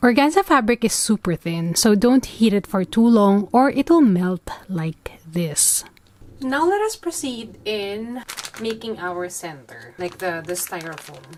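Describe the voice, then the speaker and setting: A woman with a Filipino accent, fairly high in pitch, fairly slow in pace, with very wide pitch swings. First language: Tagalog. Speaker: flower crafter. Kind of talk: tutorial. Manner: casual.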